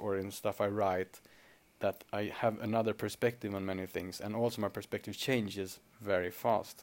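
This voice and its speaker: A man with a Swedish accent, fairly low in pitch, at a moderate pace with monotone, flat intonation. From Sweden. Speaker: podcast host, spiritual seeker and businessman. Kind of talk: solo monologue podcast. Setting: alone in a room at home. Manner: reflective with frequent filler hesitations.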